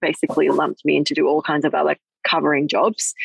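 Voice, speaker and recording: A woman with an Australian accent, recorded dry and close with no echo. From Hong Kong. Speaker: plastic surgeon. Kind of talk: casual interview chat. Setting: outdoors, sitting on a swing in a park, on a video call.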